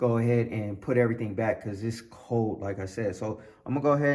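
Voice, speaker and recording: A man talks at a very fast pace. Audible room echo fills the recording. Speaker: car hobbyist YouTuber. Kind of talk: casual vlog tutorial. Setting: outdoors in cold garage.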